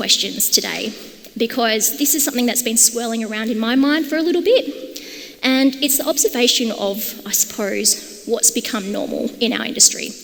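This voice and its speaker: A woman speaks in a strong Australian accent at high pitch with an animated tone. Her pitch variation is ordinary, and there is noticeable background noise. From Australia, Perth. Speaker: conference speaker, product and design lead. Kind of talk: conference talk. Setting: stage with audience.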